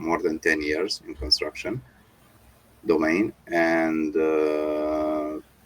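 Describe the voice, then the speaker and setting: With a non-native accent, a man speaks very slowly in a very deep, low voice, his intonation fairly even. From Romania. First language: not English. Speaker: construction company owner. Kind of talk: interview. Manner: halting.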